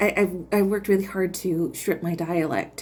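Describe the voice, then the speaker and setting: The woman has an American accent. Her intonation doesn't move much. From Michigan, US Midwest. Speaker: vlogger. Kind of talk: casual monologue. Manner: halting, many fillers and restarts.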